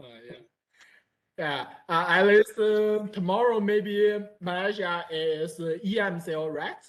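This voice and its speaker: In a Chinese accent, a woman of medium pitch speaks at a fairly slow pace with big swings in loudness. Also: ordinary pitch variation. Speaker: university student. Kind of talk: casual chat. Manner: halting.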